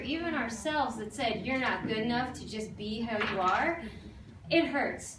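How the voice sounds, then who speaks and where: A woman's animated, lively-intoned voice at a fairly quick pace, with audible room echo and noticeable background noise. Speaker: life coach. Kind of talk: talk to an audience. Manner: fast.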